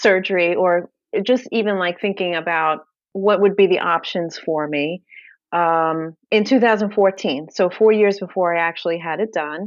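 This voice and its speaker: A woman speaks with a Brooklyn accent. Her pitch is medium and her pace fairly slow. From New York, Brooklyn. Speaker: bariatric powerlifter and fitness influencer. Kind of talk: podcast interview.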